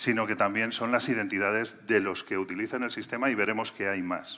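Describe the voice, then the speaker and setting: The tone is bright and sharp, at a moderate pace with fairly even intonation. The recording is very clean with a silent background. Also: man. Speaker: cybersecurity sales executive. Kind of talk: conference talk.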